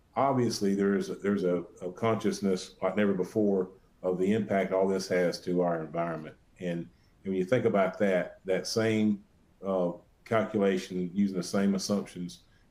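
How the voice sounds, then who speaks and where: A man with an Alabama accent speaks at a moderate pace in a very deep, low voice with a dark, mellow tone and fairly even intonation. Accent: Alabama Southern. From US South, Alabama. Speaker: sales presenter. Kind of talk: webinar presentation. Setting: online webinar. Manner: halting, many fillers and repeated words.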